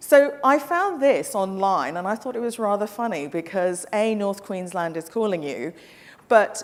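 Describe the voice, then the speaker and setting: This woman sounds animated, with very wide pitch swings around a medium pitch. She has a slight English accent and keeps a moderate pace. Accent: English-tinged. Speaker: travel company representative. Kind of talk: conference presentation. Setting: stage with audience. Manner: brisk.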